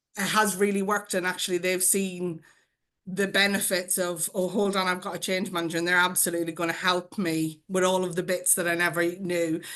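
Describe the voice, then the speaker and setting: A woman's medium-pitched voice with an Irish accent, bright and sharp in tone, at a fairly quick pace with flat, monotone intonation. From Ireland. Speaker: change manager, award winner. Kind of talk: panel discussion. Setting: video call.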